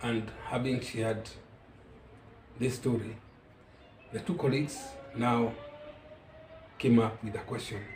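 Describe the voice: With long, frequent pauses and audible room echo, a man talks at a slow pace in a medium-pitched, slightly mellow voice with fairly even intonation.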